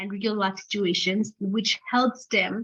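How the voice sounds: Against a quiet background, a natural reading voice of fairly even intonation.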